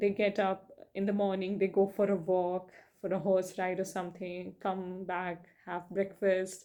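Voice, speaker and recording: Against a quiet background, a dark, mellow tone carries a non-native accent at a moderate pace. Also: woman. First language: not English. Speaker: book reviewer. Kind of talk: casual monologue. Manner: hesitant, many fillers.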